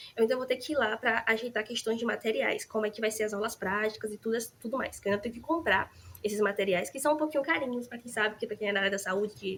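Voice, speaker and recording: Noticeable background noise sits behind a woman speaking at a very fast pace. Her pitch is fairly high, with ordinary pitch variation. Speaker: nursing student vlogger. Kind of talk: casual vlog chat. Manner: animated.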